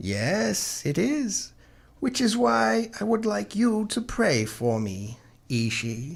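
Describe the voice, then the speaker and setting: A put-on character voice at a low-to-middle pitch, with very wide pitch swings and a very slow pace. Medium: audio drama. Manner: defiant, proud.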